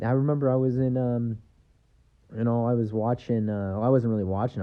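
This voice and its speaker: A man speaks at a medium pitch. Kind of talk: casual podcast monologue. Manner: rambling, hesitant.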